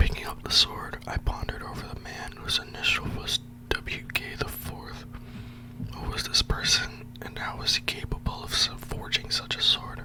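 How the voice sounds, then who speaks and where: A man whispers at a moderate pace with big swings in loudness over noticeable background noise. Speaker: ASMR storyteller. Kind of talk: read story. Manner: whispered. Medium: read story.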